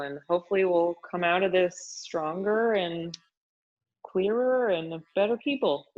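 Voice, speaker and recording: A woman speaks with an American accent in a normal speaking voice. Her pitch is fairly low, with ordinary pitch variation. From US Pacific Northwest, Washington State. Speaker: fitness expert and author. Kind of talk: casual chat. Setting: podcast interview.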